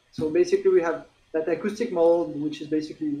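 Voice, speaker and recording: A man with a strong French accent speaks at a fairly quick pace. His pitch is fairly high, with ordinary variation. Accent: French, self-described as strong. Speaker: tech company executive. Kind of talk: interview. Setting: livestream.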